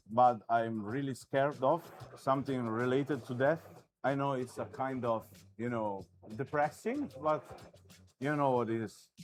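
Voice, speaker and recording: A man with a non-native accent, medium pitch, fairly even intonation, a moderate pace and long, frequent pauses, with music in the background. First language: not English. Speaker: artist. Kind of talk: live commentary while drawing. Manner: halting.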